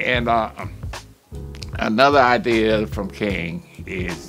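A man's voice rises and falls in very wide pitch swings over faint background music. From southern United States. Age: 80s+. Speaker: reverend. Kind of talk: interview answer, reminiscence. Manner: hesitant, reflective. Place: studio.

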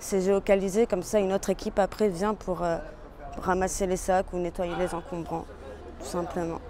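Over light background noise, a woman speaks at a moderate pace with flat, monotone intonation, and the sound is dry with no echo. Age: 20s. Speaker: peer support worker in youth job program. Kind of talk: interview. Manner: casual, with fillers. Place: street.

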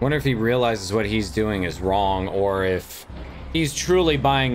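A plain, everyday voice belongs to a man speaking at a moderate pace with fairly low pitch and lively intonation. Light background noise is present. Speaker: streamer. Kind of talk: reaction commentary. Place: home room. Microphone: studio mic.

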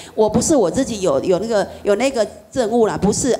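A woman's fairly high voice at a moderate pace, with ordinary pitch variation and noticeable background noise. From Taiwan. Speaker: Buddhist practitioner; Buddhist teacher. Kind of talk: dharma talk. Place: hall.

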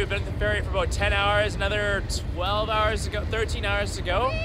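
With a dry sound and no echo, a man talks at a fairly quick pace against noticeable background noise. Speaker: travel vlogger. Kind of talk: casual vlog chat. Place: boat. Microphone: phone near.

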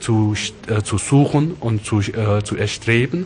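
A man speaks at a very slow pace with ordinary pitch variation over noticeable background noise. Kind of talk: interview answer. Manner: hesitant, halting.

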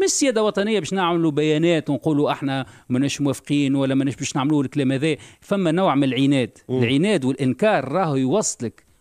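A man speaks at a fairly quick pace with a fairly high pitch, ordinary pitch variation and very even loudness, in a dry sound with no echo against a quiet background. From Tunisia. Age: 50s. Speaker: party leader, politician; politician. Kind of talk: radio interview. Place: studio. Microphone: studio mic.

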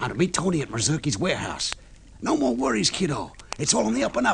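Delivered at a fast pace, the put-on character voice swings very widely in pitch and shows vocal fry. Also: man, fairly high pitch for a man.

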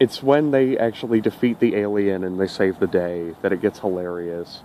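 A man talks in an ordinary speaking voice, fairly low in pitch and fairly quick, with a dry sound, no echo and light background noise. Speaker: reviewer. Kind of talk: casual vlog chat, episode review. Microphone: phone near.

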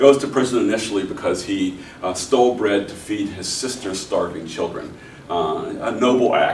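A man at a moderate pace, with ordinary pitch variation, light background noise and audible room echo. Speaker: professor. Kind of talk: lecture. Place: classroom. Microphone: camera far.

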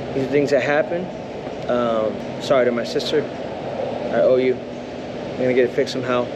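A man's voice, with ordinary pitch variation, competes with loud background noise. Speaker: touring musician vlogger. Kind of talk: casual vlog chat. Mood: mildly disappointed, calm. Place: station. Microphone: phone near.

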